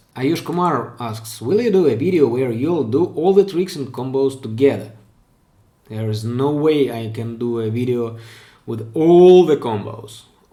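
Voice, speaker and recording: A man with a non-native accent speaks at a medium pitch and a fairly slow pace, his intonation lively. His tone is dark and mellow, and room echo can be heard. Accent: non-native English, improving. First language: Russian. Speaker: pen spinning streamer. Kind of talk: live stream Q&A. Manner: halting, with self-corrections.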